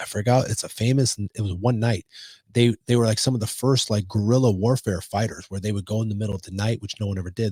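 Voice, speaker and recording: Talking at a very fast pace with a Chicago accent, a man with a fairly low pitch sounds animated and somewhat breathy, recorded dry and close with no echo. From Chicago, US Midwest. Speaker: podcast co-host. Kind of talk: casual chat.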